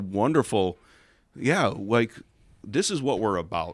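In an unremarkable speaking voice, a man with an American accent talks at a moderate pace with lively intonation on a very clean recording with a silent background. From Chicago suburbs, US Midwest. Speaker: pastor. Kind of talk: casual chat.

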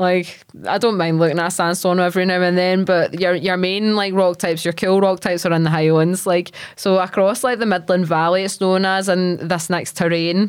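Recorded very cleanly against a silent background, a woman speaks at medium pitch and a moderate pace. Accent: west of Scotland. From Scotland, Largs (Ayrshire). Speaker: geologist and social media educator. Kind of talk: casual interview chat. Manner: animated, enthusiastic; casual, filler-heavy.

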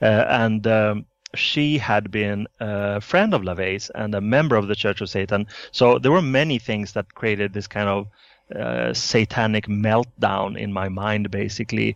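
Against a quiet background, a man with a Swedish accent speaks at a fairly slow pace and a fairly low pitch, with ordinary pitch variation. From Sweden. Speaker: author. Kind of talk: interview.

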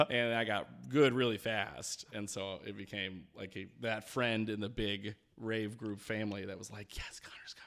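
A man with a normal speaking voice, fairly low pitch, fairly even intonation, big swings in loudness, and a moderate pace with hardly any pauses. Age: 30s. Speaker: comedy producer. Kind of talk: casual chat.

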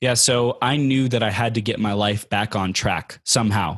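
This man has an American accent, a medium pitch and fairly even intonation, an ordinary speaking voice. The recording is very clean against a silent background. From Southern California, Inland Empire. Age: 20s. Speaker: life coach and motivational speaker. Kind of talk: podcast interview.

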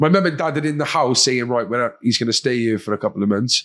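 On a very clean recording with a silent background, a man speaks very fast in a Cardiff accent with lively intonation. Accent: Cardiff Welsh. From Wales, Cardiff. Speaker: former addict, podcast host and charity worker. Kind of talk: casual chat.

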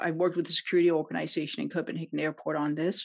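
This woman speaks with a Danish accent. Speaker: CX consultant and entrepreneur. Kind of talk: podcast interview.

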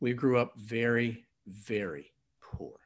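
A man talks at a medium pitch. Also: very clean recording, silent background. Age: 60s. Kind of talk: personal testimony in conversation.

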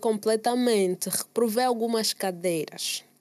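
With an Angolan accent, a woman speaks fairly slowly in a fairly high pitch with ordinary pitch variation. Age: 20s. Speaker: musician. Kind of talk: casual chat. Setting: studio.

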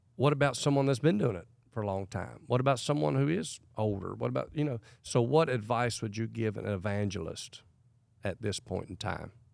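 A man with a plain, everyday voice speaks at a fairly quick pace and fairly low pitch, using lively intonation on a very clean recording with a silent background. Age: 40s. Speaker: evangelist. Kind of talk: casual interview chat.

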